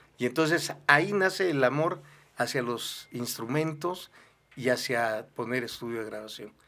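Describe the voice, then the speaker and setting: Speaking at a fairly slow pace, a man with a bright, sharp tone shows ordinary pitch variation. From southern Mexico, Villahermosa, Tabasco. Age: 60s. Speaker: pastor and musician. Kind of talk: interview.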